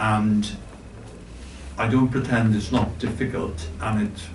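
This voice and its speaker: With a Welsh accent, a man speaks at a very slow pace and a fairly low pitch, with noticeable background noise and audible room echo. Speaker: board member of a cultural organisation. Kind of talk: speech at a forum. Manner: halting.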